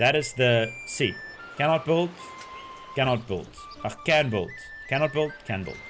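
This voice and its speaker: A man's fairly high voice with lively intonation, at a fairly slow pace with long, frequent pauses, over music in the background. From South Africa. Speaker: video game streamer. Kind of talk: live gameplay stream chat. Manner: loud; animated.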